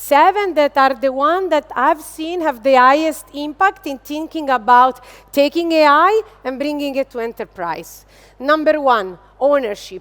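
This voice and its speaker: Speaking fairly slowly with an Italian accent, a woman uses a high pitch and lively intonation. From Italy. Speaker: business executive. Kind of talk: keynote speech. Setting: stage with audience. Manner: animated.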